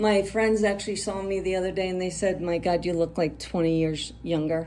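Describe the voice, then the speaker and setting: Audible room echo surrounds a woman speaking fairly quickly in a dark, mellow tone at medium pitch, her intonation fairly even. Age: 60s. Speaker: cosmetic surgery patient. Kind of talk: interview. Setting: clinic follow-up visit.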